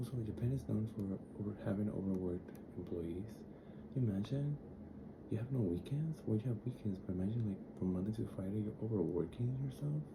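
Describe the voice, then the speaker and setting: Soft-spoken and gentle in tone, a man talks at a fairly quick pace yet with long, frequent pauses, at a fairly low pitch with ordinary pitch variation, amid noticeable background noise and audible room echo. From Dominican Republic. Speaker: travel vlogger. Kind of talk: casual vlog. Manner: soft, gentle; chatty, rambling with fillers.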